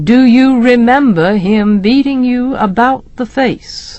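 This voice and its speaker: A woman slips into a put-on character voice, pitched high and delivered at a fairly slow pace. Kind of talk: dry, detached, professional. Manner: arid, detached.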